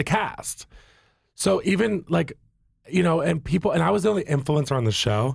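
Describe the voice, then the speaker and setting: With an American accent, a man talks at a moderate pace and fairly high pitch, his animated tone and lively intonation broken by long, frequent pauses and touched with vocal fry, in a very clean recording with a silent background. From Virginia. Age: 30s. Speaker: influencer and reality TV personality. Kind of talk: casual chat.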